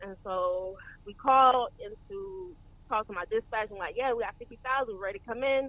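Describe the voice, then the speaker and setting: A woman with a Southern US accent, fairly high-pitched, with lively intonation and a fairly quick pace. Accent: Southern US (Georgia). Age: 30s. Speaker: trainee truck driver. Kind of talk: casual interview chat.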